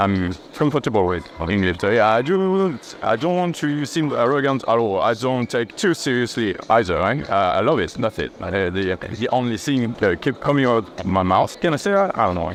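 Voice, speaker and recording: With a French accent, a man speaks at a moderate pace and medium pitch, making very wide pitch swings. Noticeable background noise sits under his voice. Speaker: natural bodybuilder and YouTuber. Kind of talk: gym training explanation. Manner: halting.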